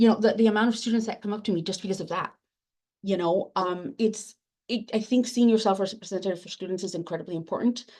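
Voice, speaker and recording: A woman with a Spanish accent speaks at a very fast pace in a medium pitch, her tone dark and mellow. Her intonation stays fairly even while her loudness swings widely, against a quiet background. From Latin America, immigrant to US. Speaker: academic librarian, book editor. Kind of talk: panel discussion. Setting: webinar. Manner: halting.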